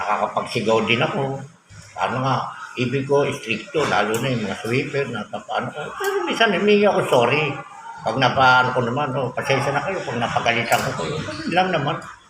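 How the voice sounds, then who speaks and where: A man's fairly high, lively voice at a fairly quick pace, with audible room echo and noticeable background noise. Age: 60s. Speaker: barangay captain. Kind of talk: interview. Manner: casual, conversational.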